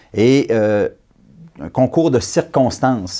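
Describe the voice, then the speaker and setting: A very clean recording leaves the background silent. The tone is dark and mellow. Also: man. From Quebec, Abitibi. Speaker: election candidate. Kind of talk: political interview.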